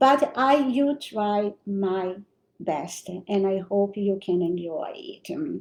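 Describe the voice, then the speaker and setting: Speaking very slowly in a Brazilian accent, a woman uses a medium pitch and lively intonation. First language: Portuguese. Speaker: spiritual teacher. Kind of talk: spiritual lecture. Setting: livestream. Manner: halting, with self-corrections.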